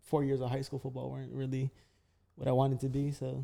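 Very fast and in an American accent, the voice has a dark, mellow tone and monotone, flat intonation. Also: man. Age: young. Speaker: high school graduate, host's son. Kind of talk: casual chat. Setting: studio with echo and street noise, handheld microphones.

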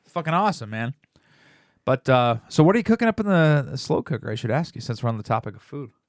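Very fast and animated, a man with a fairly high pitch makes very wide pitch swings and big swings in loudness, on a very clean recording with a silent background and a dry, close sound with no echo. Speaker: podcast host. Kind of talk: casual comedy chat. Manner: animated, joking.

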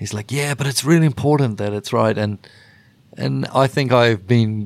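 A man with a New Zealand accent speaks at a medium pitch with ordinary pitch variation. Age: 40s. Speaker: rock bassist. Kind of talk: casual interview chat.

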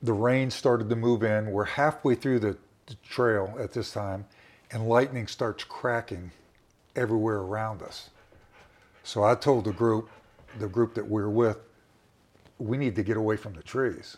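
Loudness swings widely as the speaker talks at a moderate pace with long, frequent pauses. The recording is very clean over a silent background. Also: man, medium pitch for a man. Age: 60s. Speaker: survivor telling his story. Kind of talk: personal interview storytelling. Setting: recorded conversation in a home.

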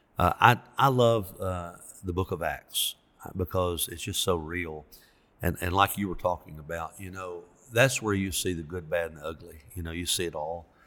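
A man with a Southern US accent speaks at a moderate pace, his very deep, low voice bright and sharp in tone. His loudness swings widely on a very clean recording with a silent background. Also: ordinary pitch variation. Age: 60s. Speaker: pastor. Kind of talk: casual interview.

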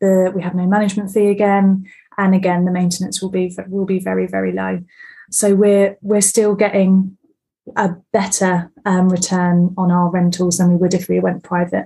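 A woman's somewhat breathy, dark and mellow voice at medium pitch, moderate in pace and monotone with flat intonation. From south-east England, Bexhill-on-Sea. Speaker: property investor. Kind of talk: interview.

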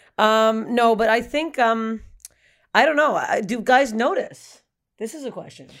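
A woman with a Canadian accent and a normal speaking voice, fairly high in pitch, fairly slow, with ordinary pitch variation and big swings in loudness. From Canada. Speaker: stand-up comedian. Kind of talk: casual chat.

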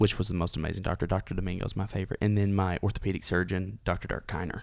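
In a very clean recording with a silent background, a man speaks with a fairly low pitch and a Tennessee accent. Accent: Southern US (Tennessee). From US South, Dunlap, Tennessee. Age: 20s. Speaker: amputee and musician. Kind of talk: casual interview.

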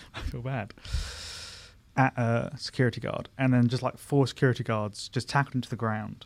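A man with a southern English accent speaks in a monotone with flat intonation. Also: medium pitch for a man, moderate pace. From Surrey, south-west London, England. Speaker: former comedian, friend of host. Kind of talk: casual chat. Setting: studio. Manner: calm.

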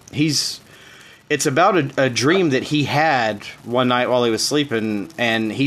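Moderate pace and ordinary pitch variation, with a Southern US accent. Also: man. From Tennessee. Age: 30s. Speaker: podcast host. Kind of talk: casual chat.

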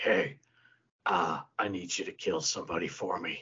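A raspy, put-on character voice from a man at a moderate pace. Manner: gruff, exaggerated.

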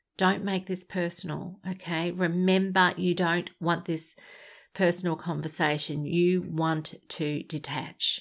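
In an Australian accent, a woman speaks at a fairly low pitch and a fairly slow pace. Her intonation is monotone and flat, and the recording is very clean with a silent background. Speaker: podcast host, abuse survivor advocate. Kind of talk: advice podcast monologue.

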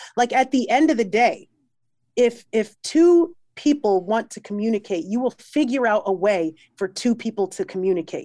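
A woman's fairly high, animated and energetic voice with an American accent, lively intonation and a moderate pace, on a very clean recording against a silent background. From New York. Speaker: musician. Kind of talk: casual interview chat. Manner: animated, energetic.

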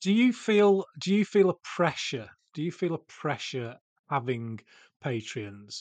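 A man with a Yorkshire accent speaks at a fairly slow pace, his fairly high voice swinging very widely in pitch. The sound is dry and close with no echo, over a quiet background. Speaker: podcast host. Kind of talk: casual podcast interview. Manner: halting, filler-heavy.

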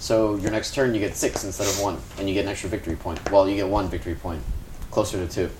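Someone reads aloud plainly.

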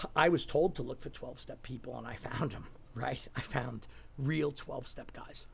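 The pace is moderate. The loudness swings widely. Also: man. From Staten Island, New York. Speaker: recovery center executive, recovering alcoholic. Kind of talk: interview, personal testimony.

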